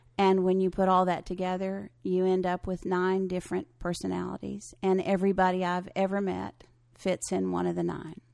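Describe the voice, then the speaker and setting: A woman at a moderate pace, with hardly any pauses. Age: 60s. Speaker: spiritual personality teacher. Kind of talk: interview. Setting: at her home.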